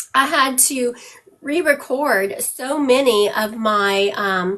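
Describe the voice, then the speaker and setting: Bright and sharp in tone, a woman with an American accent speaks with lively intonation. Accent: Southern US, comes out strongly at times. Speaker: psychic medium. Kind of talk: live-stream psychic reading. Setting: live stream with moderator in room. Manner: casual, chatty.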